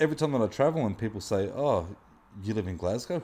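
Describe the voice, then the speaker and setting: A man in an Australian accent, dark and mellow in tone, with very wide pitch swings. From Australia, Wollongong area. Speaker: muralist, street artist. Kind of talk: casual chat. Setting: artist's studio.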